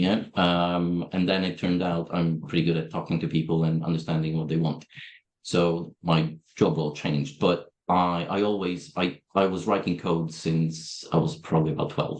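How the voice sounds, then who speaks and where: Against a quiet background, a man with a Polish accent speaks at a moderate pace in a very deep, low voice with monotone, flat intonation. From Poland. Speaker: software company owner. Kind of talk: interview. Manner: direct.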